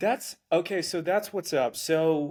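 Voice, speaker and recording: The speaker is a man. He has an American accent. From US South, South Georgia. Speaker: podcast host. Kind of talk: casual interview.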